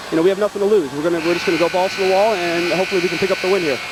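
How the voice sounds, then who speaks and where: Through noticeable background noise, a man talks at a high pitch with fairly even intonation. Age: young. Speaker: professional indoor soccer player. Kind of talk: halftime sideline interview.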